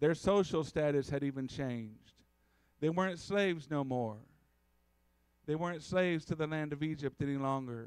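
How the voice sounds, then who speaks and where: Over a quiet background, a man speaks at a moderate pace with ordinary pitch variation. His speech has long, frequent pauses. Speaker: preacher. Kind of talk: sermon. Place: church. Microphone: podium.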